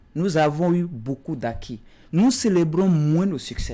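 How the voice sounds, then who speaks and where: A man's voice has a high pitch and a dark, mellow tone. He speaks at a fairly slow pace. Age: young. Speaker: politician. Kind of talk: political talk show debate. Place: studio.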